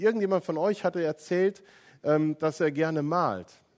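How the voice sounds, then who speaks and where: With a dry, close sound, no echo, and a very clean recording with a silent background, a man speaks in an ordinary speaking voice, fairly high in pitch, at a fairly slow pace. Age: 40s. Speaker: pastor. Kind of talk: sermon.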